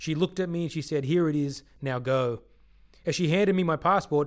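Speaking at a fairly quick pace, a man with an Australian accent uses a fairly high pitch and ordinary pitch variation. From Sydney, Australia. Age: 30s. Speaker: podcast host, ministry worker. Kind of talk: personal storytelling narration. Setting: studio.

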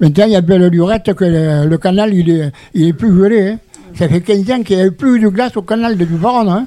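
At a fairly quick pace, a man talks in a high voice with ordinary pitch variation and very even loudness. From southern France, Gard (Vauvert). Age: 80s+. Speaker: retirement home resident, retired utility worker. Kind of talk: radio discussion. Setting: radio studio in retirement home.

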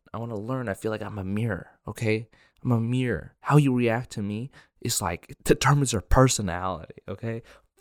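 A man with an American accent at a fairly quick pace, big swings in loudness, ordinary pitch variation, and a dry, close sound with no echo. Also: medium pitch for a man, very clean recording, silent background. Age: 20s. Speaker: comedian. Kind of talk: solo comedic monologue. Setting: solo recording on camera. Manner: rambling, laughs often; mumbling, hard to understand.

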